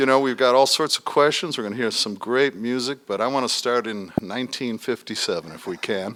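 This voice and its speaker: At a fairly quick pace with hardly any pauses, a man in an ordinary speaking voice talks at medium pitch with ordinary pitch variation. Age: 60s. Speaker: radio host. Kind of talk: radio panel discussion.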